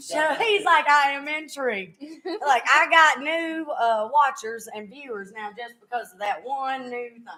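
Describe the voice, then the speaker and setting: In a raised, projected voice, a woman with a strong Southern US accent speaks at a high pitch and fairly slow pace, her intonation lively. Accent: thick Southern US. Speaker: podcast host, former singer. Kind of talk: casual chat. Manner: casual, halting.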